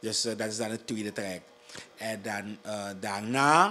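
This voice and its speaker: Speaking at a fairly slow pace, a man talks with a Surinamese accent. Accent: Surinamese Dutch. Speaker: district commissioner. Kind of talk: interview. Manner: halting. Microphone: handheld.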